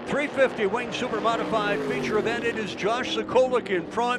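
A man's high-pitched voice with fairly even intonation over noticeable background noise. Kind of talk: live race commentary. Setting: race track PA/broadcast.

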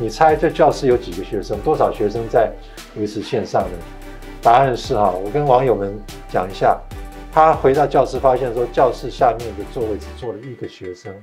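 The speaker keeps a moderate pace. Faint music plays in the background. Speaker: talk show host. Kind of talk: interview conversation. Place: studio.

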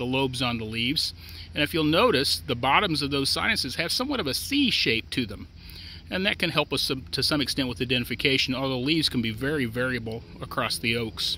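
A man's bright, sharp, fairly high voice with an American accent and lively intonation, at a fairly quick pace in a dry sound with no echo. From US Midwest. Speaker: extension forester. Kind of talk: educational tutorial. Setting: outdoors. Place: open country.

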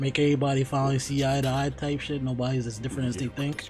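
A fairly quick pace over clear music in the background. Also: man. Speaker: reaction streamer. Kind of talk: casual reaction commentary. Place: home room. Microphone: studio mic.

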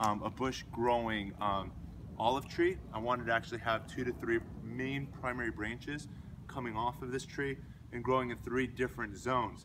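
The intonation stays fairly even. Noticeable background noise runs beneath the voice. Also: man, moderate pace. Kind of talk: tutorial. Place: garden. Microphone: camera far.

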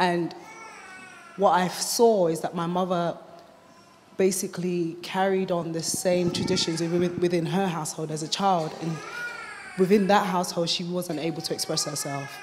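A woman's fairly low, monotone voice with flat intonation at a moderate pace, long, frequent pauses, and noticeable background noise. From UK, Ghanaian family. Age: 20s. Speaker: mother sharing experience. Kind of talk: testimony. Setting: stage with audience. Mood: earnest, reflective. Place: hall. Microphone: handheld.

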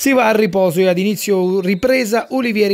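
Lively intonation at a moderate pace comes through over noticeable background noise. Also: man. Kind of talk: sports match report narration. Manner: brisk, clipped, rattling off minutes and players; formal, journalistic, steady.

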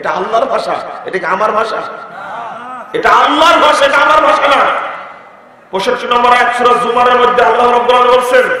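A man's raised, projected voice at an extremely high pitch, with audible room echo and noticeable background noise. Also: ordinary pitch variation. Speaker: Islamic preacher. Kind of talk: sermon. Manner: emphatic, repetitive.

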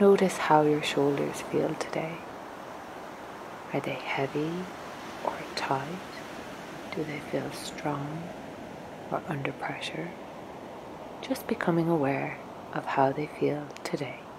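A very slow, whispering woman with a gentle tone, long and frequent pauses, and noticeable background noise. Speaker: meditation guide. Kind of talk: guided meditation. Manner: gentle, slow.

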